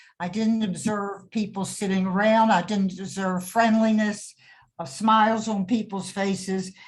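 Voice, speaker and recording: A woman talks at a moderate pace and a medium pitch. Her voice is somewhat breathy. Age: 80s+. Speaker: retirement community resident on a panel. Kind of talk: panel discussion on webinar. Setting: video call webinar.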